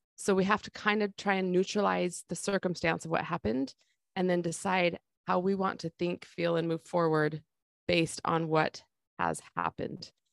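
A woman speaks in a plain, everyday voice, fairly low in pitch with fairly even intonation. The sound is dry and close with no echo, a very clean recording over a silent background. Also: moderate pace. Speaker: life coach podcast host. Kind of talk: casual podcast chat.

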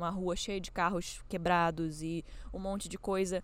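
A woman speaks at a moderate pace and a medium pitch. She has an unremarkable speaking voice. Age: 20s. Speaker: podcaster. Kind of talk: personal reflection monologue. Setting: outdoors. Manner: casual, conversational.

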